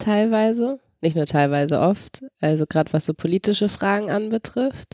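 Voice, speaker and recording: Lively intonation at a fairly slow pace on a very clean recording with a silent background, dry and close with no echo. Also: woman. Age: 20s. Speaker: daughter of a wheelchair user. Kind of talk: casual chat.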